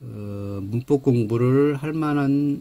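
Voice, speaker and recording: The voice has a dark, mellow tone, is somewhat breathy and shows ordinary pitch variation. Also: man. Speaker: English grammar teacher. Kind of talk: lecture. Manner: halting, self-described awkward speech.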